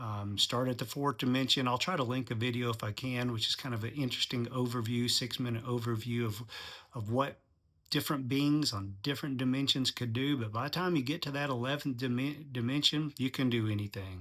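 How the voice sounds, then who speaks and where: An unremarkable speaking voice from a man, medium in pitch with fairly even intonation, in a very clean recording over a silent background. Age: 60s. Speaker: channel host, commentator on religion. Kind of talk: monologue commentary. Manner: casual, with frequent fillers.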